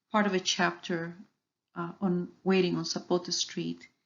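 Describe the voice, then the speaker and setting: Speaking fairly slowly with a non-native accent, a woman holds a medium pitch. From Cuba. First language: Spanish. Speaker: author. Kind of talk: presentation.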